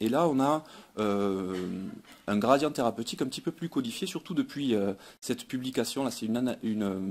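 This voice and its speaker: In a Toulouse accent, a man talks at a moderate pace with a medium pitch. The recording is very clean, with a silent background. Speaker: pediatric dentist. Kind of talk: conference talk. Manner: hesitant, frequent fillers and repetitions.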